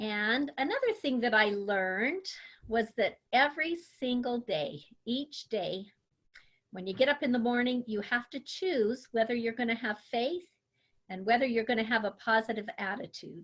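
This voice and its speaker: In an American accent, a woman uses an ordinary speaking voice with a fairly high pitch, lively intonation and a moderate pace. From Utah. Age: 60s. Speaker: grandmother, substitute teacher. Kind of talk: interview answers.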